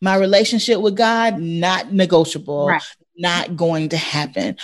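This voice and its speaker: At a fairly slow pace, a woman speaks in an ordinary speaking voice. Her intonation is lively. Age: 40s. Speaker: educator and coach.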